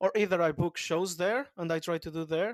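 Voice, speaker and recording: A man with a high pitch speaks at a moderate pace. The recording is very clean with a silent background, and the sound is dry and close with no echo. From Portugal. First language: Portuguese. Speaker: comedian. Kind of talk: interview answer.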